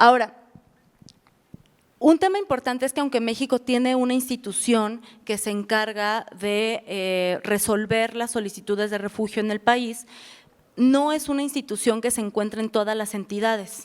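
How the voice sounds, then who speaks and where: Ordinary pitch variation marks a woman's fairly high-pitched voice. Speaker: refugee protection officer. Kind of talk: lecture. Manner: fast.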